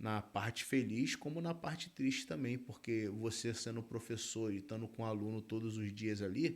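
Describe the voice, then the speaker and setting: This is a man with an unremarkable speaking voice at a medium pitch. He talks at a moderate pace with ordinary pitch variation. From Brazil, Rio de Janeiro state (Região dos Lagos). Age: 30s. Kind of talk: interview, casual chat.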